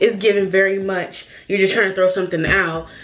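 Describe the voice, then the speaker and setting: In a room with audible echo and noticeable background noise, a woman speaks at medium pitch in an animated tone. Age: 20s. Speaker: beauty YouTuber. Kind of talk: casual chat.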